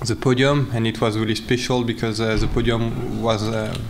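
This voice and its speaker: Flat, monotone speech from a man at a moderate pace, with noticeable background noise. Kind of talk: interview answer. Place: hall. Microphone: podium.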